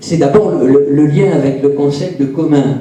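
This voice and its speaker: A man with a fairly high pitch speaks at a very slow pace. Audible room echo and noticeable background noise surround him. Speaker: audience member asking a question. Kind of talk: audience question. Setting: conference room with audience. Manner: halting, many fillers.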